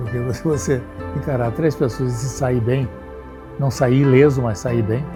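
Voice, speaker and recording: Music plays in the background as a man talks at a fairly slow pace. His voice sits at a medium pitch with ordinary pitch variation. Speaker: jiu-jitsu grandmaster. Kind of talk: interview answer.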